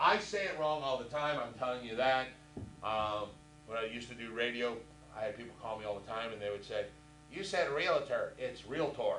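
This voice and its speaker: Man with an American accent, lively intonation and a fairly quick pace, plus audible room echo. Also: medium pitch for a man. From Indianapolis, Indiana. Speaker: real estate instructor. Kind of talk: lecture. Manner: casual, conversational.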